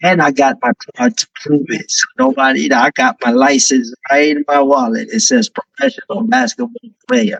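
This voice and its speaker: A man with a New York accent speaks at a moderate pace, barely pausing. His fairly high voice swings very widely in pitch, and the sound is dry and close with no echo. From New York, Brooklyn and Manila. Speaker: rapper. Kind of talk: casual interview chat.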